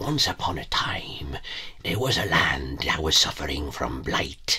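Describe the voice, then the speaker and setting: A man whispers in a put-on character voice at a fairly slow pace. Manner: whispery.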